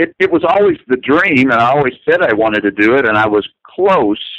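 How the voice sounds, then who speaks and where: A man with an American accent and an unremarkable speaking voice, lively intonation and a moderate pace. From US South, north central Kentucky. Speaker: animator. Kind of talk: interview.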